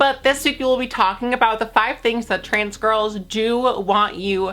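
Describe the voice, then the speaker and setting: A woman's fairly high-pitched voice with a bright, sharp tone at a moderate pace. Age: 20s. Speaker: YouTuber. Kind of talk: casual vlog talk to camera. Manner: animated.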